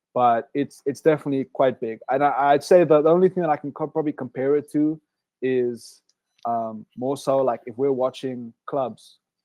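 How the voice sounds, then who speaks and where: Fairly high in pitch, a man talks with an American accent. He keeps a moderate pace and fairly even intonation. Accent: South African with slight Southern US twang. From South Africa. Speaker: Olympic swimmer, college athlete. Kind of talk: webinar interview. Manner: hesitant, many fillers.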